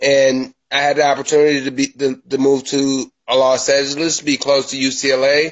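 A fairly high male voice with an American accent. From US Midwest, Milwaukee, Wisconsin. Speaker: mortgage broker. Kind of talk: interview. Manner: halting.

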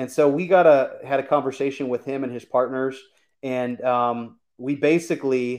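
In an American accent, a man with a normal speaking voice and medium pitch speaks with fairly even intonation against a quiet background. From US Midwest (Michigan). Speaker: real estate investor. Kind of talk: casual interview. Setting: live video stream.

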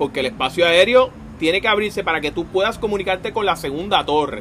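Over noticeable background noise, a man with a high pitch speaks at a very fast pace with lively intonation. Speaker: podcast co-host. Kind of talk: casual chat.

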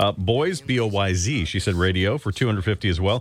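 A man speaks with a fairly low-pitched voice. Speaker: radio host. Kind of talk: call-in radio show. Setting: studio.

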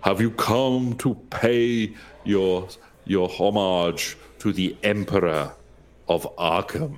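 A booming, put-on character voice moves at a very slow pace with long, frequent pauses. Its loudness stays very even. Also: man, fairly low pitch for a man. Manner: regal, grand.

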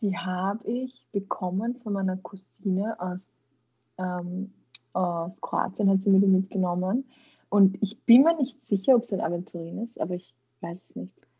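At a fairly slow pace, a woman speaks in a medium pitch with a somewhat breathy voice and big swings in loudness. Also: ordinary pitch variation. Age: 20s. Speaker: kinesiologist and mental trainer. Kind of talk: casual interview.

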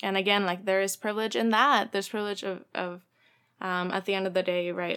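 In a Spanish accent, a woman speaks at a very fast pace with medium pitch and fairly even intonation. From Mexico. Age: 20s. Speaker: community organizer. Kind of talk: casual interview.

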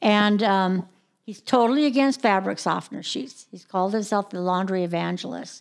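At a moderate pace, a woman talks in an unremarkable speaking voice with ordinary pitch variation, in a very clean recording with a silent background. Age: 60s. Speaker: caregiver. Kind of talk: casual chat.

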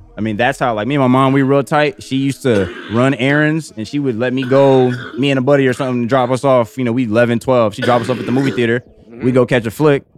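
A man with a medium pitch talks at a very fast pace with hardly any pauses and fairly even intonation, while noticeable background noise runs underneath. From Southern California, Palmdale and Bakersfield. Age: 20s. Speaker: director and photographer. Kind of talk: casual chat.

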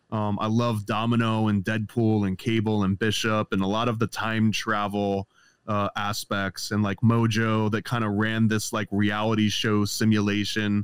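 In a dry, close recording with no echo, a man with an ordinary speaking voice talks at a fairly low pitch and moderate pace. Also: very clean recording, silent background. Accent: American. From upstate New York. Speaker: comic book artist. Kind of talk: casual chat.

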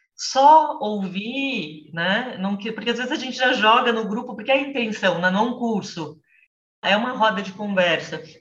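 A woman's fairly high voice, fairly slow, with ordinary pitch variation. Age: 40s. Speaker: literature teacher and reading group mediator. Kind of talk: casual chat. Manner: talkative.

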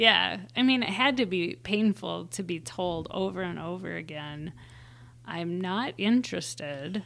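In an Upper Midwest accent, a woman with a fairly low pitch speaks at a fairly slow pace. Her intonation is lively. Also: very clean recording, silent background. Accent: Upper Midwest (Minnesota). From Minnesota. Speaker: veteran and mother, dating podcast guest. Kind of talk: casual interview chat.

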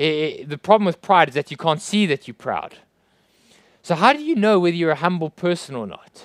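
A man with a South African accent speaks at a fairly quick pace in a high voice, with ordinary pitch variation. His loudness swings widely, and the sound is dry and close with no echo. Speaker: pastor. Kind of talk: sermon. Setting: church.

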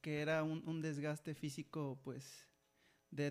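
On a very clean recording with a silent background, a man with a fairly high pitch speaks in a flat monotone. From Mexico (Jilotepec). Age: 20s. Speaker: athlete. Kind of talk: casual interview. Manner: halting, many repeated words.

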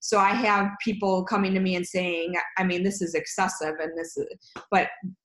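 A woman speaks at a fairly quick pace with medium pitch. Audible room echo surrounds her voice. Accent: American. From US Midwest, Chicago. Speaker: recruiting company founder. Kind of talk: interview.

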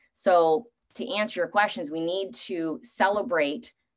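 A woman with a Canadian accent talks at a moderate pace in a medium pitch. She has a plain, everyday voice. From Canada. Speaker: strength coach. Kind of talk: panel discussion.

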